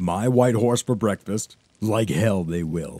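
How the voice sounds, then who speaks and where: A man uses a put-on character voice, pitched fairly low and delivered at a fairly slow pace. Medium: read story. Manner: blunt, hot-tempered.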